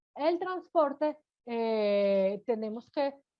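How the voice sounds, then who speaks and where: A woman is speaking. Her pitch swings very widely. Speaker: food safety instructor. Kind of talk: lecture.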